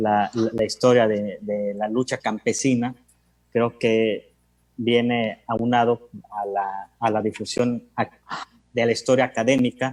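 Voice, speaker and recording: A man at a very slow pace with monotone, flat intonation and a dry, close sound with no echo. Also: medium pitch for a man. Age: 30s. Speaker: historian. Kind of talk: panel talk. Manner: halting, many repetitions.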